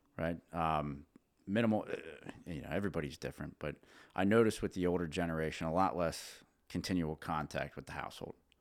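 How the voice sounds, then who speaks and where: In a very clean recording with a silent background, speech comes at a very fast pace with ordinary pitch variation. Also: man, very deep, low pitch for a man. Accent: central Pennsylvania. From central Pennsylvania. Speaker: businessman and father. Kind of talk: casual interview chat. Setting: on the road at a trade show.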